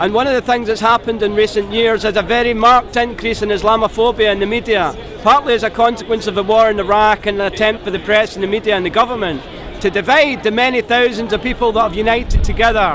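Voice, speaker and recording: Over music in the background, a man with a Scottish accent talks at a very fast pace and a high pitch, with fairly even intonation. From Scotland. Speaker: protester interviewed at a rally. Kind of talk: street interview.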